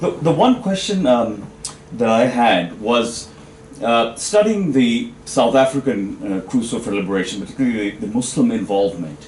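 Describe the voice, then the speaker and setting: The intonation is lively and the pace moderate. Noticeable background noise is heard. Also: man, medium pitch for a man. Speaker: academic audience member asking question. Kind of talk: panel discussion question. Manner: loud; halting, many fillers. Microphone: no microphone.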